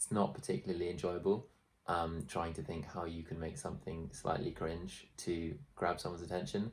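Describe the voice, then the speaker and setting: At a moderate pace, a man talks in a very deep, low, somewhat breathy voice with ordinary pitch variation and big swings in loudness. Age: 20s. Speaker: YouTuber. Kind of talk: vlog. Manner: casual, halting with fillers.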